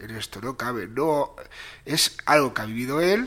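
Lively in intonation, a man at medium pitch speaks at a fairly slow pace with a bright, sharp tone. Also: very clean recording, silent background. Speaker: podcast co-host. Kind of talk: casual chat.

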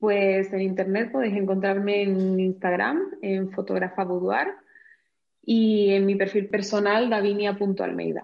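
A woman with a Canary Islands accent speaks at a medium pitch and a fairly slow pace. Her intonation is monotone and flat, and her loudness stays very even. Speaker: professional photographer. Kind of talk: casual interview.

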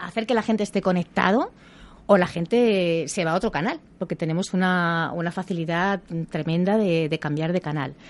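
A woman at a moderate pace and medium pitch, a plain, everyday voice. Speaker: actress and communication coach. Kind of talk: radio interview.

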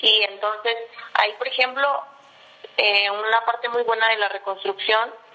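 Over noticeable background noise, a woman speaks at a moderate pace with a fairly high pitch. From Mexico, Estado de México. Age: 30s. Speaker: civil engineer. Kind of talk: interview.

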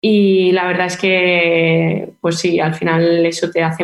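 The speaker is a woman with a fairly low pitch. Her intonation stays flat and monotone. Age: 20s. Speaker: professional footballer. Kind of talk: interview. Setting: remote from team training camp.

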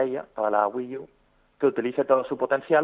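At a moderate pace, a man talks in a normal speaking voice with fairly high pitch. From Spain, Zaragoza (Aragon). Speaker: video game project manager. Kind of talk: interview. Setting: phone call.

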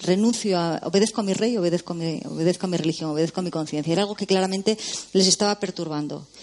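A woman at a very fast pace and medium pitch, with ordinary pitch variation and noticeable background noise. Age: 40s. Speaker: novelist. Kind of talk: casual film discussion.

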